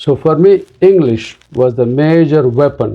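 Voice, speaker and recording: A man speaks with a Telugu accent and ordinary pitch variation. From India (Andhra Pradesh). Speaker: pediatric neurologist. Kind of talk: interview.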